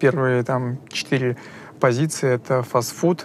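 With fairly even intonation, a man's voice holds a medium pitch. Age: 20s. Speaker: data analyst and dark kitchen owner. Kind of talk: interview. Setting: office. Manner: halting, many fillers.

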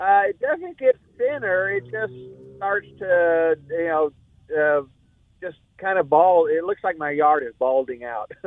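Speaking fairly slowly with lively intonation, a man with an American accent uses a high pitch. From Texas (Corpus Christi). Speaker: caller. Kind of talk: call-in question. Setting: phone call.

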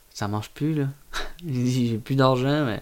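Audible room echo on a man's medium-pitched, fairly slow speech. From Quebec, Gaspésie (Carleton). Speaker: oyster farmer. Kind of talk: casual chat. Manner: halting.

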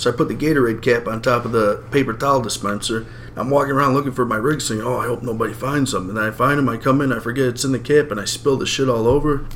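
A man with an American accent and medium pitch, very fast pace, hardly any pauses, fairly even intonation, and noticeable background noise. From Chicago. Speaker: podcast host. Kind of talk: casual chat.

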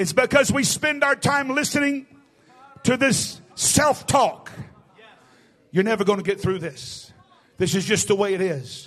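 A man with a Southern US accent talks in an animated tone at a high pitch with very wide pitch swings. His pace is fairly slow, with long, frequent pauses. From US South. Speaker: guest preacher. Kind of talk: sermon. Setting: church.

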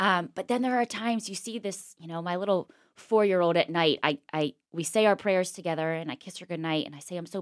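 A woman with an American accent uses a normal speaking voice, fairly low in pitch with ordinary pitch variation, at a fairly quick pace with hardly any pauses and big swings in loudness. The sound is dry and close with no echo, on a very clean recording with a silent background. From Pittsburgh, Pennsylvania. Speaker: former TV news reporter. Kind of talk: interview conversation.

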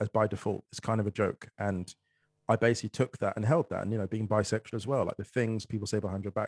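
A man speaks at a very fast pace with fairly even intonation. The sound is dry and close, with no echo. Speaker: author and poet. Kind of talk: casual chat. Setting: video call.

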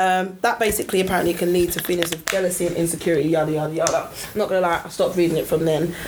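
Speaking very fast with hardly any pauses, a woman with a London accent keeps a fairly low pitch, monotone, flat intonation and very even loudness over noticeable background noise. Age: 30s. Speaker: podcast co-host. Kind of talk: casual chat. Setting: studio.

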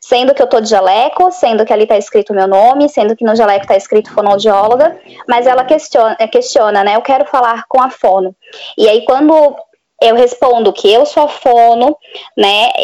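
Her high pitch has ordinary variation as the woman speaks at a moderate pace with very even loudness. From Florianópolis, southern Brazil. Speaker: speech therapist. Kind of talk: casual chat.

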